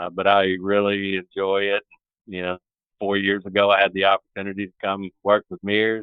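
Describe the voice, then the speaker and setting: The speech comes in a Southern US accent at a moderate pace, with monotone, flat intonation. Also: man, fairly low pitch for a man. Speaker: broadband construction executive. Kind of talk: interview. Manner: halting.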